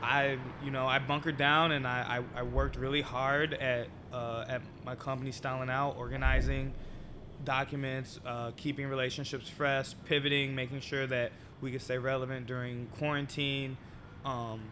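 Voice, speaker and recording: A man's monotone, flat delivery at a moderate pace amid noticeable background noise. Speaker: podcast guest. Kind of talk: interview answer. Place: cafe. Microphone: studio mic.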